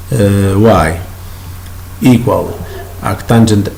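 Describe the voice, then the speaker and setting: In an Italian accent, a man talks with a fairly low pitch and fairly even intonation, with audible room echo and noticeable background noise. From Italy. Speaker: math teacher. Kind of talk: lecture. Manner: halting.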